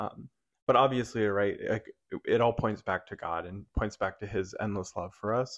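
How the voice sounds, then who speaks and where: A man with a plain, everyday voice speaks at a fairly low pitch and moderate pace, his intonation fairly even, over a quiet background. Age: 20s. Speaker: youth minister. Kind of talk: casual chat.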